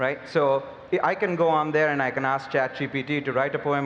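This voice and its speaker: Noticeable background noise sits under a man with a Telugu accent and a fairly high pitch. He talks at a fairly quick pace with ordinary pitch variation. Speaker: biotech company CEO. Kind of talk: panel discussion.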